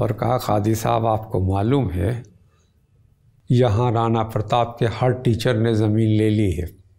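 A man's medium-pitched, somewhat breathy voice with a dark, mellow tone, very slow pace, fairly even intonation and very even loudness. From India, Uttar Pradesh (Azamgarh, Banaras); Uttar Pradesh. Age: old. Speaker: literary critic, professor; professor. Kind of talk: interview, reminiscence. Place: home room. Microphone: lapel.

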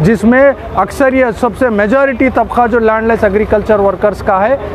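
Against clear background noise, a man talks at a moderate pace. His pitch is high and his intonation fairly even.

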